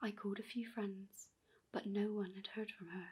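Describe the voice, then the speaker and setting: The speaker is soft-spoken. The pace is moderate. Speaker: ASMR storyteller. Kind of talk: creepypasta horror story reading.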